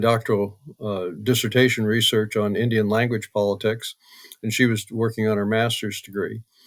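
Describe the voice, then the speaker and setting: On a very clean recording with a silent background, a man with an American accent talks at a medium pitch in a monotone, flat intonation. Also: dry, close sound with no echo. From Oregon, US. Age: 80s+. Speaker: retired political science professor. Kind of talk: interview conversation. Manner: halting, many fillers.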